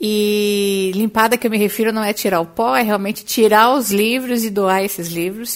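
In a plain, everyday voice, a woman speaks at a fairly high pitch with ordinary pitch variation and a moderate pace, on a very clean recording with a silent background. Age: 40s. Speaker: career coach and podcast host. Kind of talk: solo podcast monologue.

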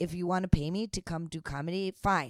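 A woman with a plain, everyday voice speaks in an American accent at a moderate pace, with ordinary pitch variation. The sound is dry and close, with no echo. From United States. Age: 30s. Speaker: podcast co-host, stand-up comedian. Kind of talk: casual chat.

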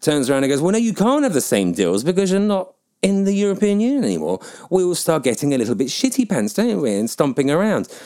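A man with a southern English accent and very wide pitch swings. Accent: nondescript southern English. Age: 40s. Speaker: podcaster and PR professional. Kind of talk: solo opinion monologue, blog-style podcast. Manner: rambling, opinionated, informal.

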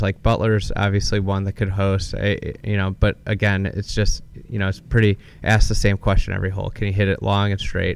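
A man's fairly low voice with an American accent at a fairly quick pace. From Chicago area, Illinois. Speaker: golf media founder and podcaster. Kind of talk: live podcast interview. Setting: at a country club after a tournament round.

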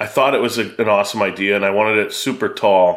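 Here a man has a plain, everyday voice. He speaks at a fairly quick pace with a fairly low pitch. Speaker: podcast host. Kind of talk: casual chat.

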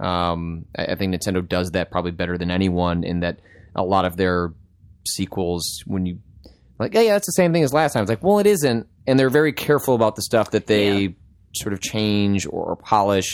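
A man with an unremarkable speaking voice talks at a fairly quick pace, his fairly low pitch carried by lively intonation on a very clean recording with a silent background. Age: 30s. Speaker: game journalist. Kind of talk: casual chat.

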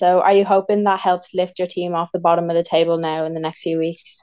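This woman speaks at a very fast pace in a medium pitch. Her intonation stays monotone and flat throughout. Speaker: interviewer. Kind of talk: interview. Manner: formal.

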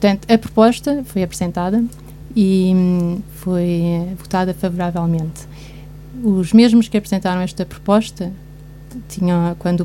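A woman speaks at a moderate pace with medium pitch, fairly even intonation and a plain, everyday voice. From Guarda, Portugal. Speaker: commentator. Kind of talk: radio panel discussion. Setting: radio studio.

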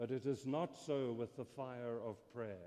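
A man speaks at a fairly slow pace in a dark, mellow tone. His medium-pitched voice shows ordinary pitch variation. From South Africa. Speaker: theology scholar. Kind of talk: lecture. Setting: stage with audience.

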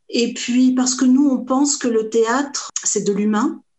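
A woman speaks with an ordinary amount of pitch variation. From France, Portuguese family. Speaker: theatre association founder. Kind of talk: interview. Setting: video call.

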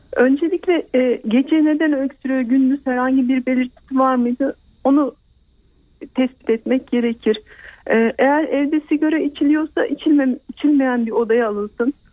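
At a moderate pace, a woman talks in a high voice with very even loudness. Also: ordinary pitch variation. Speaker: pediatrician. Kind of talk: radio health interview. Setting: phone call. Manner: halting, hesitant.

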